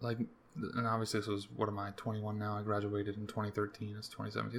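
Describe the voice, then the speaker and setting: Talking at a very fast pace, a man has an American accent. His pitch is fairly low. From US, Maryland. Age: 20s. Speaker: podcaster. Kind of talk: casual monologue. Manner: casual, rambling delivery.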